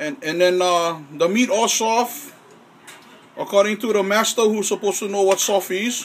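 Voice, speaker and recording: Over light background noise, a man speaks at a moderate pace in a high pitch. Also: ordinary pitch variation. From Hawaii. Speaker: home cook. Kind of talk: casual cooking talk to camera. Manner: relaxed, folksy. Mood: relaxed, proud, joking. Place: kitchen. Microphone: phone near.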